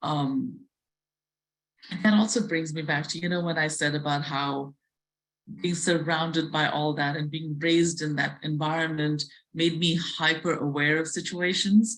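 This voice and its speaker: A woman speaks with an Indian accent in a very deep, low voice. Her pace is moderate and her intonation fairly even. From South India. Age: 50s. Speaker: chef and restaurateur. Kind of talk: interview talk at virtual museum event. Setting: virtual event. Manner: hesitant, with fillers and repetitions.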